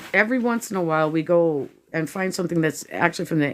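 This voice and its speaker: A woman's unremarkable speaking voice, fairly low in pitch, with lively intonation and a fairly quick pace, on a very clean recording against a silent background. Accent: American. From US Pacific Northwest. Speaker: house cleanup vlogger. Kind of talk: casual chat.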